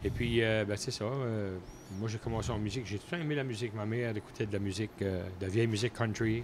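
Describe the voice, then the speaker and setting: A man talks at a very fast pace in a New Brunswick Acadian accent. His intonation stays fairly even. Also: fairly low pitch for a man. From Acadia, southeast New Brunswick (Bouctouche). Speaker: country musician. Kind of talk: casual interview.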